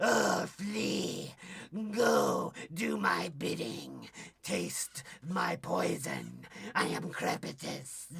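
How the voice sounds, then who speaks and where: Using a put-on character voice, a man talks at a very slow pace. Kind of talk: theatrical, archaic. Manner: menacing.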